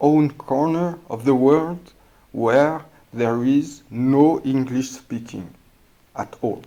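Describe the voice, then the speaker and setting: In a strong non-native accent, a man with a fairly high voice and a dark, mellow tone speaks very slowly. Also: ordinary pitch variation. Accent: thick non-native English. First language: not English. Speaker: podcast host, English learner. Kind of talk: casual monologue. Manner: halting, many fillers and hesitations.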